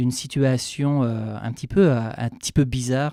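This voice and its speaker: Here a man talks in a dark, mellow tone with fairly even intonation. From France, Normandy. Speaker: chef. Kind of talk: radio interview. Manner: hesitant, many fillers; fast.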